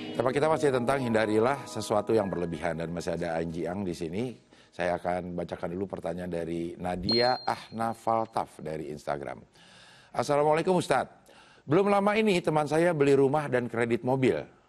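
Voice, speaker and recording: A man talking at a fairly quick pace with very wide pitch swings over noticeable background noise. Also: medium pitch for a man. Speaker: TV presenter. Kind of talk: talk show hosting. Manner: expressive. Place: studio. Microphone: lapel.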